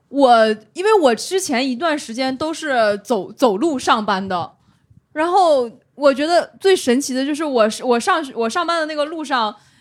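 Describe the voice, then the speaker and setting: The voice belongs to a woman with a high pitch. She speaks at a fairly slow pace. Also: lively intonation. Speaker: stand-up comedian with a finance job. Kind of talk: casual chat.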